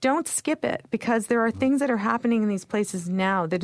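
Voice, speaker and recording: In a very clean recording with a silent background, a woman with a Canadian accent talks fairly quickly at medium pitch in a normal speaking voice. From Canada. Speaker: magazine editor and travel writer. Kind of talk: interview. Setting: studio.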